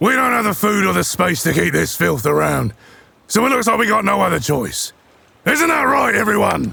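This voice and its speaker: In a raspy put-on character voice, a man projects at high pitch with very even loudness and a moderate pace. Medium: audio drama. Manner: commanding, cold, menacing.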